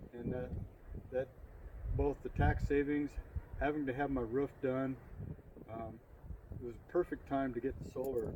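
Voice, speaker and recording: Pausing long and often, a man speaks at a moderate pace and medium pitch with fairly even intonation, while his loudness swings widely. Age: 60s. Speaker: local business owner, security systems. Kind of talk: casual interview. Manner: hesitant, many fillers.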